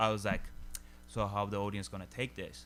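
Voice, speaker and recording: A man with a Turkish accent speaks at a moderate pace in a bright, sharp tone with vocal fry and ordinary pitch variation. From Turkey. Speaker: stand-up comedian. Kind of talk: casual chat. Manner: halting, heavy filler words.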